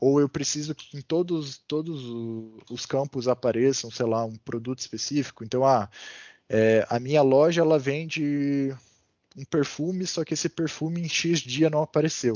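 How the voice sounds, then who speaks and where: A man speaks at a moderate pace with a dark, mellow tone and a fairly high pitch. His pitch varies in an ordinary way, and the sound is dry and close with no echo over a quiet background. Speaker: data analysis instructor. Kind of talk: online class lecture. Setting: video call. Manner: many filler hesitations.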